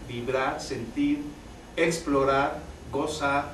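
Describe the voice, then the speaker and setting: Noticeable background noise and audible room echo surround a man's medium-pitched voice with fairly even intonation. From Mexico City. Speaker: theatre teacher. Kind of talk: tribute talk. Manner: unprojected natural speaking voice; halting, repeats words.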